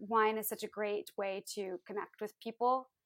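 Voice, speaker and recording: Speaking at a moderate pace with fairly even intonation, a woman has a fairly high pitch and an unremarkable speaking voice. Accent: American. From US Midwest, Iowa. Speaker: wine entrepreneur. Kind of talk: interview. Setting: video call.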